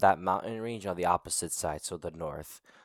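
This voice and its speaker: A man talks in a normal speaking voice with an American accent, his pitch fairly low and its variation ordinary. The sound is dry and close, with no echo. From United States. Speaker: Circassian activist and podcaster. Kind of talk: casual interview.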